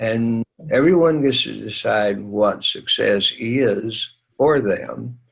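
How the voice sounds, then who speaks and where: A man's very slow speech with music in the background. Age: 80s+. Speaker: public speaker and teacher. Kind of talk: interview. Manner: halting.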